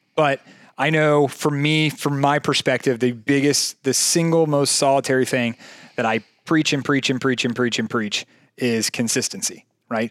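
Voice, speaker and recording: With an American accent, a man speaks in a plain, everyday voice at a fairly high pitch and moderate pace, his intonation fairly even and his loudness very even, in a very clean, dry, close recording with no echo and a silent background. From Jacksonville, Florida. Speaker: fitness coach and podcast co-host. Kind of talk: casual chat.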